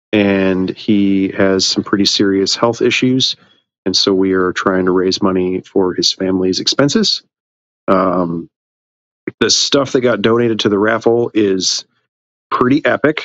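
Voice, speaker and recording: The man speaks fairly slowly in a normal speaking voice with a fairly low pitch. His intonation is fairly even and his loudness very even. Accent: American. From Illinois, US Midwest. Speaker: reptile keeper and podcast host. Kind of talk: casual chat.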